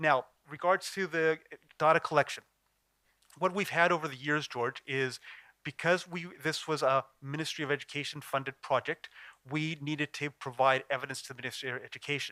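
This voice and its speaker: This man, with an American accent, has an unremarkable speaking voice, fairly high in pitch with fairly even intonation. The recording is very clean and silent behind him, with a dry, close sound and no echo. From California, USA (born in Chile). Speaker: conference presenter, sport development practitioner. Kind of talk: conference Q&A answer. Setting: conference auditorium. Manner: many filler sounds and self-corrections.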